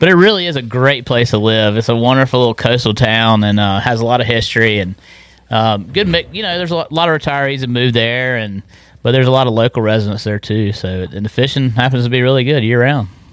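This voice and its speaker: A man talks at a very fast pace in an eastern North Carolina accent. His pitch is medium, with ordinary pitch variation. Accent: eastern North Carolina Southern. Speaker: fishing guide. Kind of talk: casual interview chat. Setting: studio.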